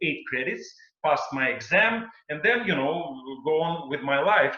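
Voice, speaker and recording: A man with a strong non-native accent speaks at a moderate pace with a fairly high pitch and lively intonation. Audible room echo is present. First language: not English. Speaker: singer and stage performer. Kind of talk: panel discussion. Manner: halting.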